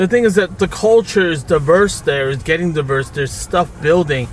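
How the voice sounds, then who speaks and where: With a Brooklyn accent, a man with a fairly high pitch talks at a moderate pace with lively intonation over noticeable background noise. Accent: Brooklyn New York. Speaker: podcast host. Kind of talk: casual banter chat. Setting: in a car. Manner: crude, joking, talkative.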